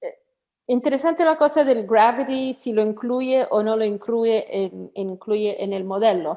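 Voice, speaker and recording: This woman speaks at a fairly slow pace with a non-native accent, her fairly high voice dark and mellow, with ordinary pitch variation. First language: not Spanish (speaking Spanish). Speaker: online seminar host. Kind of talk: technical Q&A after presentation. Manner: halting.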